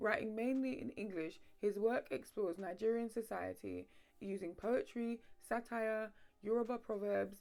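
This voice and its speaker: A woman speaks with fairly even intonation. Her pitch is fairly high. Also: moderate pace. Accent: London. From London. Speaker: history video essayist. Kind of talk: scripted narration.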